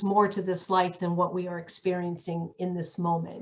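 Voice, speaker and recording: With a plain, everyday voice, a woman speaks in an American accent at a moderate pace and medium pitch. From Pennsylvania, US. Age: 60s. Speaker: end-of-life energy healer. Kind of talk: personal testimony in an online community talk.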